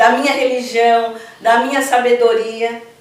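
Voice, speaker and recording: With audible room echo, a woman speaks at a very slow pace in a high pitch. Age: 60s. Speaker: Afro-Brazilian religious priestess. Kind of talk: interview. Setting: at her temple.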